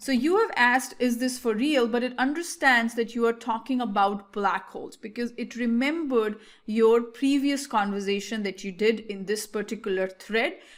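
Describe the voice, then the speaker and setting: Speaking with an Indian accent, a woman talks at a moderate pace in a fairly high voice. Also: ordinary pitch variation. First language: Hindi. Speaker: tech tutorial creator. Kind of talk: tutorial. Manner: casual, hesitant with fillers.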